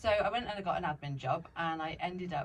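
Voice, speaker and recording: A woman sounds somewhat breathy, with ordinary pitch variation. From Sussex, southern England. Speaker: former social worker turned business owner. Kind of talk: interview chat.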